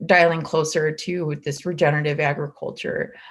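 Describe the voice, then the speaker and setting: Speaking at a fairly quick pace, a woman uses a very deep, low voice. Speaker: nonprofit agriculture program representative. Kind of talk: panel discussion. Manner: halting, many fillers.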